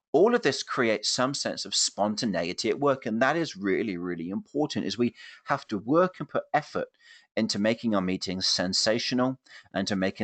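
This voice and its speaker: Over a quiet background, a man talks fairly quickly at a medium pitch with lively intonation, the sound dry and close with no echo. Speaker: keynote speaker. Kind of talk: webinar presentation. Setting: online webinar. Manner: animated.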